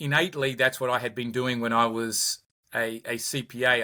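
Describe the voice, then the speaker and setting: A man with an Australian accent speaks at a medium pitch in a bright, sharp tone. His intonation is monotone and flat. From Australia, Sydney. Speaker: company founder and executive. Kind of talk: podcast interview. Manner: repetitive, halting starts.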